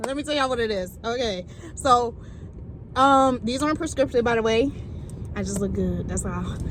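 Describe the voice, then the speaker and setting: A woman's voice with long, frequent pauses and audible room echo. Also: moderate pace. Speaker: vlogger. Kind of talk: casual vlog. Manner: loud.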